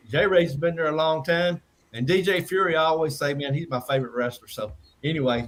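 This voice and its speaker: With an American accent, a man talks at a fairly quick pace in a fairly high, somewhat breathy voice with ordinary pitch variation. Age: 60s. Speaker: wrestling promoter. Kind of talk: casual chat. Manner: halting.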